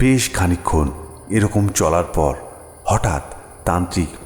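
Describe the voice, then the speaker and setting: A man is speaking. Music plays in the background. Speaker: audio story narrator. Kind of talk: horror audio story narration.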